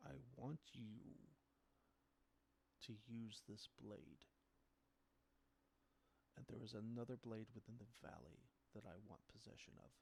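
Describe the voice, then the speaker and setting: This man uses a booming, put-on character voice at medium pitch. He speaks at a moderate pace. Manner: commanding.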